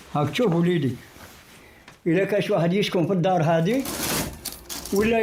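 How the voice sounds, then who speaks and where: A man speaks with lively intonation. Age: 80s+. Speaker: elderly resident interviewed. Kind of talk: street interview.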